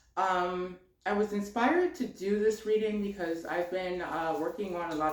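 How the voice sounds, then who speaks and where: A moderate pace carries the speech. Audible room echo and noticeable background noise accompany it. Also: woman. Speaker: tarot reader. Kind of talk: spiritual card reading. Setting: home office. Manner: many filler words, um and uh.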